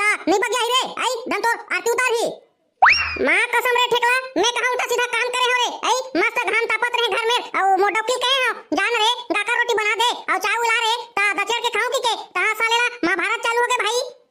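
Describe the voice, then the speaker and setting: A woman performs a whiny, cartoonish character voice at an extremely high pitch and a very fast pace. Her intonation is fairly even and her loudness very even, with sound effects in the background. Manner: whiny, swears by mother.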